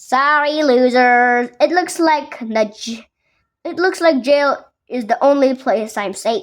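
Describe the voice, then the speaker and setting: A woman's put-on character voice, high-pitched and fairly slow, in a very clean recording with a silent background. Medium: read story. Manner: smug, boastful.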